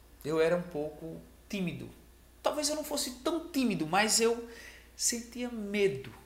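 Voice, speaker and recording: A man with a high voice swings his pitch very widely, leaving long, frequent pauses amid audible room echo. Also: fairly slow pace. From Brazil, small rural village. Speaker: sales trainer, video creator. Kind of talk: motivational talk to camera. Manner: casual, conversational.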